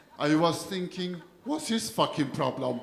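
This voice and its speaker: There is audible room echo around this man's voice. He speaks at a high pitch with lively intonation. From Iran. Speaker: comedian. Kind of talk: stand-up. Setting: stage with audience.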